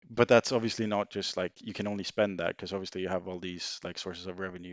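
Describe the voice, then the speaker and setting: With a Swedish accent, a man talks very fast in a very deep, low pitch and a monotone, flat intonation. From Sweden. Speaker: former banker. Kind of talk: casual chat.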